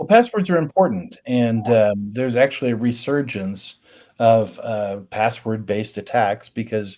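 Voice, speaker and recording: A man with an American accent and an unremarkable speaking voice talks at a moderate pace, with medium pitch and ordinary pitch variation. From US Midwest, Richmond, Indiana. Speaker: cybersecurity consultant, former Air Force intelligence officer. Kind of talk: interview.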